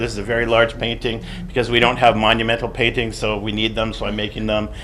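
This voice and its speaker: With a Canadian accent, a man talks at a very fast pace and a medium pitch, with audible room echo and noticeable background noise. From Canadian prairies (Alberta). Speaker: artist and art critic. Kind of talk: conference talk; reading a paper aloud. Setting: seminar room with audience.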